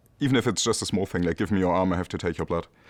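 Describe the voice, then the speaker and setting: A man with a German accent speaks at a very deep, low pitch over a quiet background. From Germany. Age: 30s. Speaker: emergency doctor. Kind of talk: casual chat. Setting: hospital emergency department. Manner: halting.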